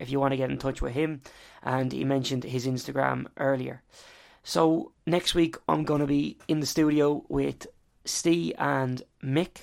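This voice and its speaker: Moderate pace in an Irish accent. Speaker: podcast host. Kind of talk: interview.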